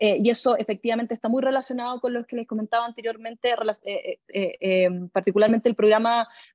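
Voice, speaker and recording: In a Chilean accent, a woman speaks at a very fast pace with hardly any pauses, her fairly high pitch held in a monotone, flat intonation. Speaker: government official. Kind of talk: interview answer. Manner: hesitant, many fillers.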